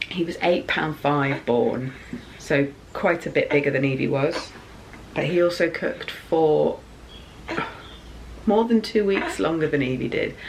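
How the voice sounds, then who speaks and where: Soft-spoken and with an English accent, a woman talks at a fairly slow pace in a fairly low pitch, using lively intonation and long, frequent pauses. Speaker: YouTuber, mother. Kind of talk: casual vlog.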